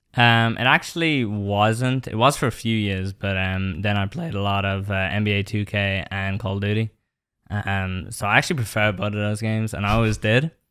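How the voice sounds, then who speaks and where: With an American accent, a man speaks at a moderate pace in a fairly low voice with ordinary pitch variation, on a very clean recording with a silent background. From Ireland. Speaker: esports player. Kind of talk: podcast interview.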